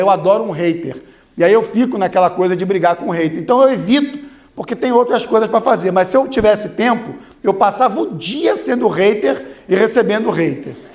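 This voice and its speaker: In a room with audible echo, a man talks at a high pitch and moderate pace, his tone animated and his intonation lively. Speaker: lawyer and lecturer. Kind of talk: conference talk. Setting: stage with audience.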